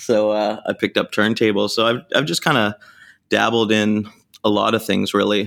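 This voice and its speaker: A man speaks at a moderate pace with a slight Canadian accent, his pitch fairly low and his intonation flat and monotone. Loudness stays very even, and the recording is very clean with a silent background. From Canada, Vancouver. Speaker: DJ and record label owner. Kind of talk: casual interview chat.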